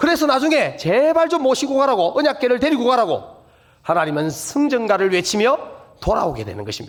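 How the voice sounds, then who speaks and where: A man in a Busan accent, extremely high-pitched with very wide pitch swings and a fairly quick pace. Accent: Gyeongsang (Busan) dialect, self-described. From Busan, South Korea. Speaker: guest pastor at revival meeting. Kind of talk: sermon.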